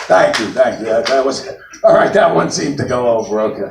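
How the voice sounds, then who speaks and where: Talking at a fairly quick pace, a man in a New York accent makes very wide pitch swings. Noticeable background noise and audible room echo surround him. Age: 60s. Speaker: comedian. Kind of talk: stand-up. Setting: stage with audience.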